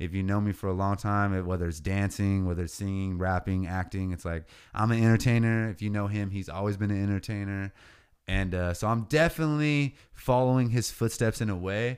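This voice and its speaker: Here is a man with an unremarkable speaking voice and a fairly low pitch. He talks at a fairly quick pace on a very clean recording with a silent background. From California Central Coast. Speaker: rapper and landscaping business owner. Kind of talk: casual chat.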